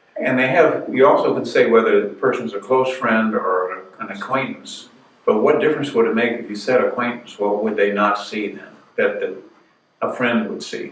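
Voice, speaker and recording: A man speaks at a moderate pace. Room echo can be heard. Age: 70s. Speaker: discussion group leader. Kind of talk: casual group chat. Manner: halting.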